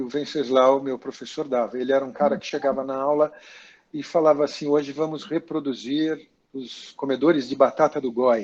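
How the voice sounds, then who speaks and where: Fairly high in pitch, a man speaks with fairly even intonation. He has an ordinary speaking voice. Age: 60s. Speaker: actor and makeup artist. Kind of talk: interview about career. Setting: video call.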